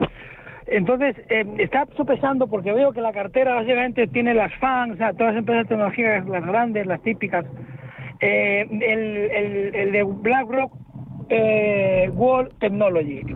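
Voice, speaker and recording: Noticeable background noise sits behind a man with a high pitch. He speaks at a fairly slow pace with ordinary pitch variation. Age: 60s. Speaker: caller, retail investor. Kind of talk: radio call-in question.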